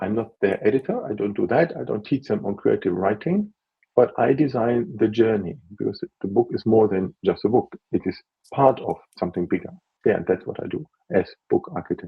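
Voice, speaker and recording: The man talks at a fairly quick pace with a non-native accent. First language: not English (English is his third language). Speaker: author and book consultant. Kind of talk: interview on a live video. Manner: halting, with restarts and fillers.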